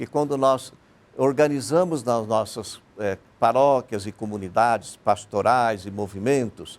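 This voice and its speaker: At a fairly slow pace, a medium-pitched man speaks in a normal speaking voice. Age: 60s. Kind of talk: TV panel interview.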